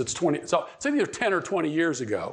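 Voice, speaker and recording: A man with an American accent talks at a fairly quick pace in a high pitch. Audible room echo surrounds his voice. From Pittsburgh, Pennsylvania. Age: 70s. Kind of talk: conference talk. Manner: repetitive, halting.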